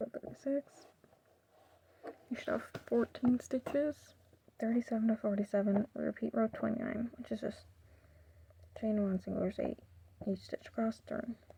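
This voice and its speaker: Soft-spoken, the speaker goes at a moderate pace with long, frequent pauses. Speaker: crochet tutorial creator. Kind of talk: tutorial.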